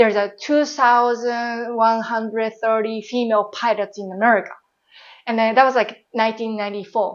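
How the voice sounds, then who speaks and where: Her voice fairly high and her intonation monotone and flat, a woman with a Japanese accent speaks at a moderate pace. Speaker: former airline pilot and baker. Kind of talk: interview. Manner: casual, with many fillers.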